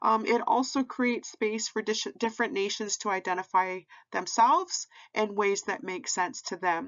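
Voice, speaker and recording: A woman's unremarkable speaking voice, fairly high in pitch, with lively intonation at a moderate pace. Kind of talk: educational presentation / lecture. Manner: conversational, with filler words.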